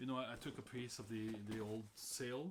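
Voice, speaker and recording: A man talks with a Norwegian accent. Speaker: sailor and hobby sewer. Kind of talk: casual tutorial vlog. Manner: halting, many fillers and repeats.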